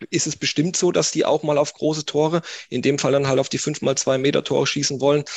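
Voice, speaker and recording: A man talks at a fairly quick pace in a fairly high voice, his intonation monotone and flat. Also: quiet background. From northeastern Baden-Württemberg, small village. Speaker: sports scientist and youth football coach. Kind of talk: podcast interview.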